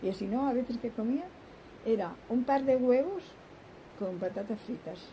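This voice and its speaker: Light background noise can be heard as a woman speaks fairly slowly. Her voice is high, with lively intonation. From Spain. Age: 90s. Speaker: grandmother interviewee; interviewee. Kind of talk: interview reminiscence; interview answer. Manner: rambling, halting. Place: garden.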